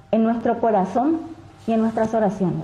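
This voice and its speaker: A woman's voice comes with audible room echo and noticeable background noise. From Paraguay. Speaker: daughter of a kidnapping victim. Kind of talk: public statement. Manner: formal.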